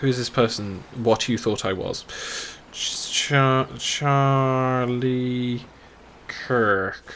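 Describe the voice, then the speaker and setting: Speaking very slowly with a British accent, a man keeps his intonation fairly even. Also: medium pitch for a man. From England. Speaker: game streamer. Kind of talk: live gameplay commentary. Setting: live stream.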